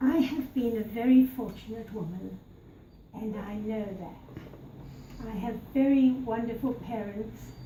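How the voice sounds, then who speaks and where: A woman speaks at a very slow pace, her pitch fairly high and her intonation fairly even. Audible room echo and noticeable background noise fill the recording. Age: 80s+. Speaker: birthday celebrant. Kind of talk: party speech. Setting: birthday party. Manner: formal.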